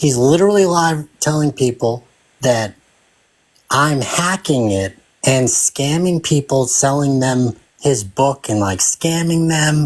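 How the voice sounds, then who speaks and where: At a very slow pace and with very even loudness, a fairly high-pitched man speaks in a Boston accent. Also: ordinary pitch variation. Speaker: freemason web developer. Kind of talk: heated debate. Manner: animated.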